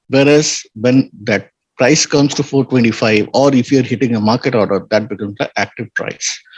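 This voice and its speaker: In an ordinary speaking voice, a man with a medium pitch talks at a moderate pace with fairly even intonation and a dry, close sound with no echo. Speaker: trading educator. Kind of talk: online lecture.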